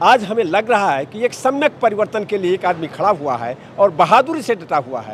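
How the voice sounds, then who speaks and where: This man talks at a moderate pace with a high pitch, very wide pitch swings and hardly any pauses. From Uttar Pradesh, Bahraich. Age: 70s. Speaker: retired lawyer, political supporter. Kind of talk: interview answers. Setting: political rally.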